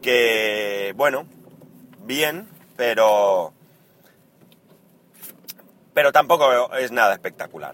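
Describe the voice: A man's fairly bright tone at a slow pace, with ordinary pitch variation.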